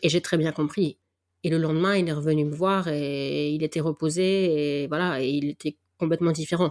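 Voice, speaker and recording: A woman's very deep, low voice, monotone and flat, at a moderate pace, with a dry, close sound with no echo on a very clean recording with a silent background. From northern France. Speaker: podcast host and athletics event volunteer. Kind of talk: interview (being interviewed). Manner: casual, hesitant with fillers.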